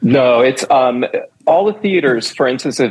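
A man with a plain, everyday voice at medium pitch, fairly slow, with ordinary pitch variation. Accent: American. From New York City (Manhattan). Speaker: dancer and choreographer. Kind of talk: interview.

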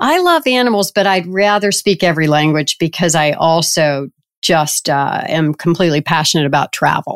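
This woman has an American accent. Her pitch is very deep and low, with ordinary variation. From US South, Richmond, Virginia. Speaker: payments company chief executive. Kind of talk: interview.

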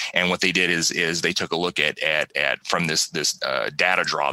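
In a dry, close recording with no echo but noticeable background noise, a man speaks in a very deep, low pitch with monotone, flat intonation. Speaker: pharmacy professor and podcast host. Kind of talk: educational lecture-style podcast. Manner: fast; halting, many repeated words and fillers.

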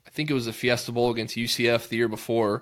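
A man with a normal speaking voice and an American accent at a fairly quick pace. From Texas (Georgetown, near Austin). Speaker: high school football coach, podcast co-host. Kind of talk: casual chat.

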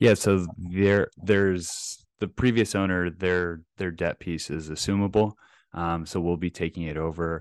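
With an American accent, a man speaks at a fairly slow pace in a very deep, low pitch and fairly even intonation. The sound is dry and close with no echo, over a quiet background. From Texas, Plano (North Dallas). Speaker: real estate investor. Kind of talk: interview.

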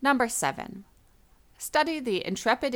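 A woman speaks at a moderate pace with a slight non-native accent. The recording is very clean, with a silent background. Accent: near-native English. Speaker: English teacher. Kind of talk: scripted narration. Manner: clear, measured.

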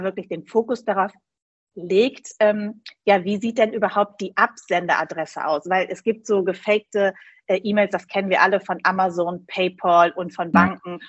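A normal speaking voice at a moderate pace with fairly even intonation. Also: woman. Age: 40s. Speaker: insurance broker. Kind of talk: interview.

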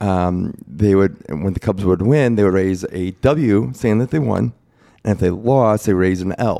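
A man with an American accent speaks at a fairly low pitch in a dark, mellow tone. His intonation is lively. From Chicago area, Illinois. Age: 40s. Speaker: leukemia survivor. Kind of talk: casual interview.

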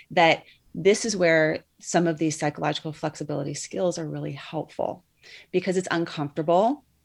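At a fairly quick pace, a woman speaks in a fairly low pitch with vocal fry. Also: ordinary pitch variation. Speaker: clinical psychologist. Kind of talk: interview. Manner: fast.

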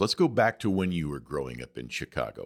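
At a moderate pace, a man speaks with vocal fry on a very clean recording with a silent background. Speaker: podcast host. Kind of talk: interview.

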